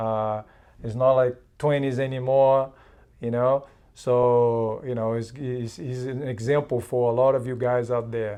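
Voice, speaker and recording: A man speaks at medium pitch with a dark, mellow tone. His intonation is monotone and flat, and his pace is fairly slow. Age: 50s. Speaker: jiu-jitsu instructor. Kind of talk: casual interview host.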